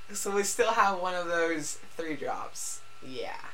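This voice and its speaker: Audible room echo and noticeable background noise surround the speaker. She is a woman with a medium pitch. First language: not English. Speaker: podcast co-host. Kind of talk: casual chat. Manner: halting, repetitive.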